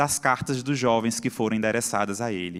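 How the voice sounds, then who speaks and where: Here a man talks with a Pernambuco accent. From Brazil, Pernambuco. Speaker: psychiatrist and lecturer. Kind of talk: conference talk. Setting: stage with audience.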